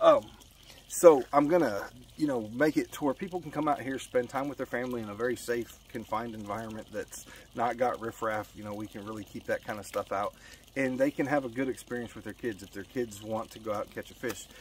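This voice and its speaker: A man with an American accent speaks at a medium pitch and a fairly quick pace, his loudness swinging widely, in a dry recording with no echo and light background noise. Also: ordinary pitch variation. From Colorado. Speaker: fly fishing youtuber. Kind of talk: casual vlog monologue. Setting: outdoors by a pond. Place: waterside. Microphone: phone near.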